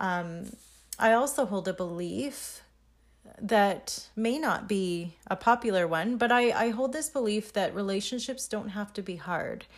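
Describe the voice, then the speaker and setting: With a fairly high pitch and ordinary pitch variation, a woman talks at a fairly slow pace. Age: 30s. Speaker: podcast host, entrepreneur. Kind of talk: solo casual monologue. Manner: unscripted, halting with fillers.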